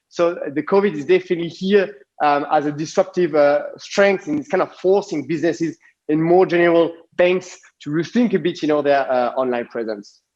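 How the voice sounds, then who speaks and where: With a strong French accent, a man talks at a fairly quick pace and a high pitch with ordinary variation. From France. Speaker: design consultancy CEO. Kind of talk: conference talk. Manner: halting, many fillers.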